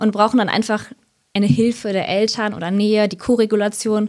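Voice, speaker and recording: A woman speaks in an ordinary speaking voice at a moderate pace. Her pitch is medium. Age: 30s. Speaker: sleep consultant and social worker. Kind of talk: casual interview.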